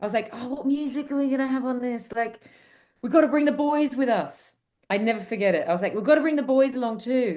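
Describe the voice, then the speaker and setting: A woman speaks very fast with an Australian accent. Her voice is high, with a dark, mellow tone. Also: ordinary pitch variation. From suburban Australia. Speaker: commercial film director. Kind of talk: casual interview chat.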